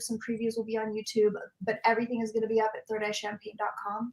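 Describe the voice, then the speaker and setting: The speaker is a woman with a fairly high pitch. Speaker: show host. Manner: fast talker.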